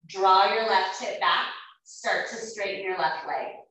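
A woman speaks in a calm tone against a quiet background. Strong room echo fills the space around her voice. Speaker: yoga teacher. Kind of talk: yoga class instruction. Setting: online video class. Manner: calm, even cueing in short imperative phrases, paced to the breath. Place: home room. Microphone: camera far.

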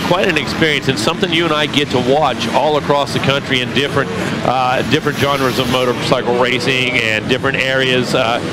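In a dry sound with no echo and loud background noise, a man talks at a fairly quick pace with hardly any pauses and ordinary pitch variation. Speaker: race commentator. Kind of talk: commentary.

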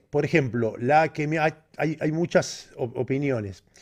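A man with a dark, mellow tone speaks with lively intonation over a quiet background. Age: 50s. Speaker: bodybuilding coach. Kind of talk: live Q&A stream. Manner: halting. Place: home room. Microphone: studio mic.

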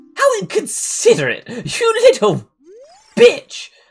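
A put-on character voice from a man, delivered at a fairly slow pace. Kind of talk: comic read-aloud of game dialogue. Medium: game stream. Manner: haughty, indignant.

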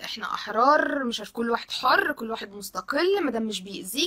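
Against a quiet background, a woman talks at a fairly quick pace in a high pitch, animated in tone and lively in intonation. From Egypt. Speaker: social media commentator. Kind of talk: video monologue. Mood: indignant, shocked. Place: home room. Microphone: phone near.

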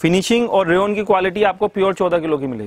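With light background noise and a dry sound with no echo, a man speaks at a high pitch and moderate pace with ordinary pitch variation. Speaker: shop seller. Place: shop. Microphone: phone near.

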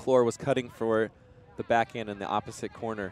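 Medium pitch from a man at a fairly quick pace, dry and close with no echo, against noticeable background noise. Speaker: sports commentator. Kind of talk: live sports commentary.

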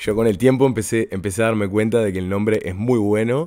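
A man with a Uruguayan accent speaks fairly quickly in a dark, mellow tone. His pitch varies in an ordinary way, and the recording is very clean with a silent background. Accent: Uruguayan Spanish (Rioplatense). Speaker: podcast host and carnival performer. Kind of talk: casual interview chat.

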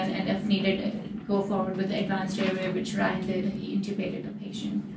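Noticeable background noise is audible. Over it, a woman talks fairly quickly. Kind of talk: lecture. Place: meeting room. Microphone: camera far.

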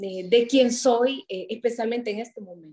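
A woman speaks at a fairly high pitch with a dark, mellow tone. Her pitch variation is ordinary, and the background is quiet. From Honduras, Santa Rosa de Copán; Honduras. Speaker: writer and public policy specialist; interview guest. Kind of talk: interview. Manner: halting. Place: home room. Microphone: video call.

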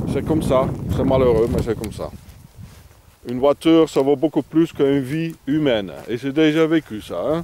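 A man with a non-native accent speaks at a moderate pace in a fairly high voice, with ordinary pitch variation. He leaves long, frequent pauses, and the sound is dry with no echo over light background noise. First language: not French (speaking French). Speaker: vagabond vlogger. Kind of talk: outdoor video tutorial. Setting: outdoors. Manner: halting, many hesitations. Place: open country.

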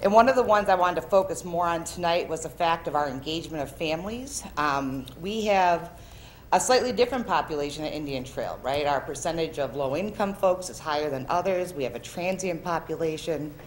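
Over light background noise, a woman with an unremarkable speaking voice talks at a fairly quick pace, her fairly low pitch carrying lively intonation. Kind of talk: presentation. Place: meeting room. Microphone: podium.

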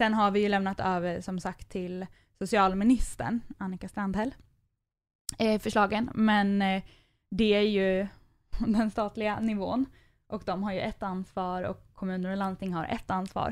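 A woman speaks at medium pitch in a monotone, flat intonation at a fairly slow pace with long, frequent pauses. The recording is very clean with a silent background. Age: 20s. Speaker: nonprofit youth mental health worker. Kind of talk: casual interview. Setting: studio.

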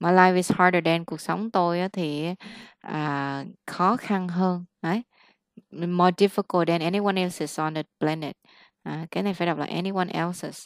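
A woman at a fairly low pitch and moderate pace, loudness swinging widely, in a dry sound with no echo over a quiet background. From Vietnam. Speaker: English teacher; English tutor. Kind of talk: one-on-one English lesson; one-on-one online lesson, mixed English and Vietnamese. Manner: animated. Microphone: webcam.

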